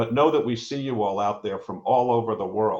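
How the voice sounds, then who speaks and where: A man talks in a plain, everyday voice at medium pitch. His pace is moderate and his pitch variation ordinary. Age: 60s. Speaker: professor and entrepreneur. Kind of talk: live panel conversation. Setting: live online stream.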